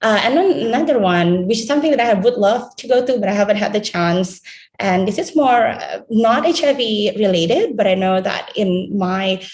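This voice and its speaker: Somewhat breathy and fairly high in pitch, a woman speaks with lively intonation. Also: moderate pace. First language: not English. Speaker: health research trainee. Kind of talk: panel presentation. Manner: halting, many fillers.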